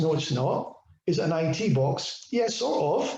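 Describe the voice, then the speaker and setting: There is audible room echo as a man with a high pitch talks in very wide pitch swings. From Scotland. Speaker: IoT technology speaker. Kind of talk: webinar presentation with Q&A. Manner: fast.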